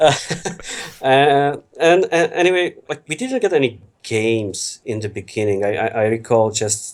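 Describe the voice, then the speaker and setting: Lively intonation from a man with an Eastern European accent, on a very clean recording with a silent background. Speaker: FMV games enthusiast. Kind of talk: podcast interview.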